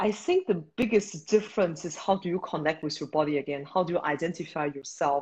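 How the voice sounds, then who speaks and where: A woman speaks with a Beijing accent in a somewhat breathy, fairly low voice. Her pace is moderate and her pitch variation ordinary. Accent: Chinese (Beijing) accent in English. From China, Beijing. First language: Mandarin Chinese. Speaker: startup founder and CEO. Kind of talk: interview.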